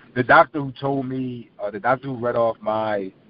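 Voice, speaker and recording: A man speaks with a Philadelphia accent. His pace is moderate, and his pitch varies in an ordinary way. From South Philadelphia. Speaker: former college basketball player and media host. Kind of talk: interview.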